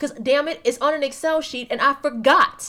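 Speaking at a fairly quick pace, a woman uses a raised, projected voice that is high in pitch with a bright, sharp tone. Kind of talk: casual chat.

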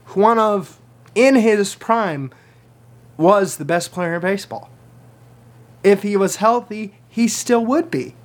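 Lively in intonation, a man with a high pitch speaks very slowly, pausing long and often. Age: 20s. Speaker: sports podcast host. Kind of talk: solo sports picks podcast. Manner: casual, chatty.

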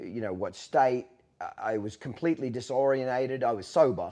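A man's medium-pitched voice with an Australian accent, a dark, mellow tone and a moderate pace. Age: 40s. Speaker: podcast host. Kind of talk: casual chat. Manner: blunt, profane.

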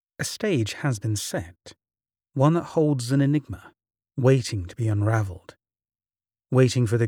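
The voice is dark, mellow and somewhat breathy with a theatrical tone, moving at a fairly slow pace with ordinary pitch variation, dry and close with no echo on a very clean recording over a silent background. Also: man. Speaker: narrator of mystery stories. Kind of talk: dramatic scripted narration of a spooky tale. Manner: theatrical, ominous, measured storytelling delivery; formal, ornate phrasing.

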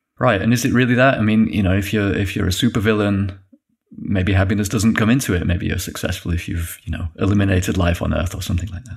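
A man with a Yorkshire accent talks at a very fast pace. His pitch is fairly low and his intonation fairly even. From northern England (Yorkshire). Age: 40s. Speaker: animator. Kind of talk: casual interview. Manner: halting.

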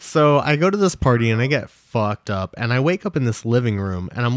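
A man with an ordinary speaking voice at medium pitch, fairly quick and with lively intonation, in a dry, close, very clean recording with a silent background and no echo. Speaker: podcast host. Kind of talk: casual banter podcast. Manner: casual, chatty.

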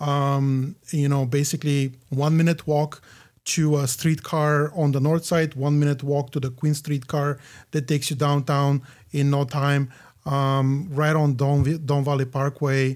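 In a Bulgarian accent, the speaker keeps a fairly slow pace, monotone, flat intonation and very even loudness on a very clean recording with a silent background. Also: man, fairly high pitch for a man. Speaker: condo realtor and investor. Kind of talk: casual interview. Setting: studio.

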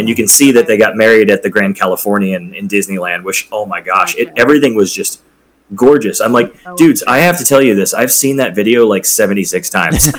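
Here is a plain, everyday voice from a man at a medium pitch. He talks at a fairly quick pace with ordinary pitch variation. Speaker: bartender and former hotel bellhop. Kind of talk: casual chat. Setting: video call.

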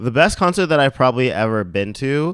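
A man with a Canadian accent uses an ordinary speaking voice at a moderate pace. His intonation is lively, and the recording is very clean with a silent background. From Mississauga, Ontario, Canada. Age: 30s. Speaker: fashion and lifestyle blogger. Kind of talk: casual interview chat.

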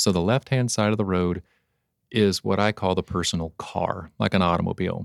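A man with an American accent talks at a fairly quick pace in a very deep, low pitch, with fairly even intonation. The recording is very clean, with a silent background and a dry, close sound with no echo. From Oklahoma. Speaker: Medicare insurance agent. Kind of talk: podcast interview, explaining.

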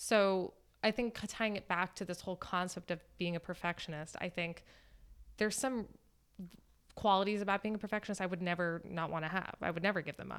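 Delivered in a normal speaking voice with an American accent, the speech moves at a fairly quick pace with fairly even intonation. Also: woman, medium pitch for a woman. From Florida. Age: 30s. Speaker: dancer. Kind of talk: casual chat.

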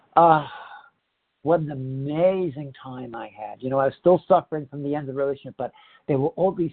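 With an American accent and a plain, everyday voice, a man talks at a fairly quick pace with a fairly high pitch. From Northeast New Jersey, US. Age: 60s. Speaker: speaker sharing recovery story in a support program. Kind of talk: testimony. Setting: phone meeting. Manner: candid, conversational, self-deprecating.

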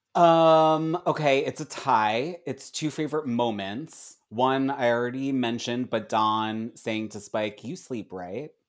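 This man has an unremarkable speaking voice, a medium pitch and an American accent. He goes at a fairly slow pace with hardly any pauses and ordinary pitch variation, on a very clean recording with a silent background. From US, Philadelphia. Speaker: television writer and comedian. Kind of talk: casual chat.

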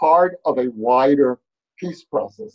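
Speaking at a very slow pace with a New York accent, a man uses ordinary pitch variation. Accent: New York American. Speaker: author and fellow at research institute. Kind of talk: panel discussion. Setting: video call.

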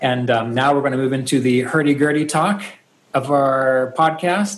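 A man talks at a moderate pace with ordinary pitch variation while noticeable background noise sits behind him. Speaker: podcast host. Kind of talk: casual chat.

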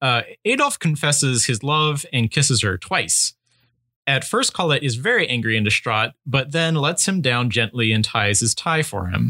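On a very clean recording with a silent background, a man uses a normal speaking voice at a medium pitch and moderate pace, with very even loudness. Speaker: podcast co-host. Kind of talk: casual chat.

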